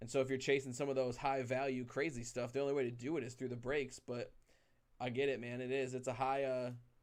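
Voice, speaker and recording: At a very fast pace, a man speaks with a medium pitch and monotone, flat intonation. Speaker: card break livestream host. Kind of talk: casual livestream chat. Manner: loud. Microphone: very close to the mic.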